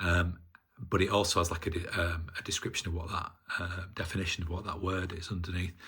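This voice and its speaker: A man with a northern English accent, very deep and low in pitch, at a moderate pace with monotone, flat intonation. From northern England. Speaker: hobbyist maker. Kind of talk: casual video demonstration. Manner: halting, many fillers.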